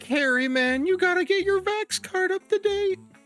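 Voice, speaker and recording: An extremely high-pitched, put-on character voice, moderately paced. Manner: laid-back, casual.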